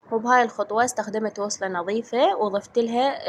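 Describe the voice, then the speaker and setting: With an Iraqi accent, a woman talks at a moderate pace. Her pitch varies in an ordinary way. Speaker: home cleaning and cooking vlogger. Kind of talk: voiceover narration of a cleaning vlog.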